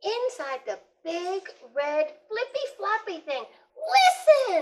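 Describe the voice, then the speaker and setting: Using a put-on character voice, a woman squeaks at an extremely high pitch with very wide pitch swings and a very slow pace. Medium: read story.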